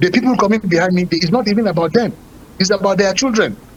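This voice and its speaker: A man with a high pitch speaks at a very fast pace. His pitch varies in an ordinary way, with noticeable background noise. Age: 60s. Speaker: politician. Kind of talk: political talk show discussion.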